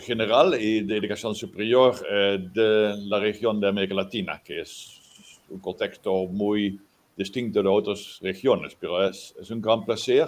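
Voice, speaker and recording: A man's fairly low, fairly slow speech in a Dutch accent, with fairly even intonation. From Netherlands. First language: Dutch (speaking Spanish). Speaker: professor. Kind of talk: lecture. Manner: halting.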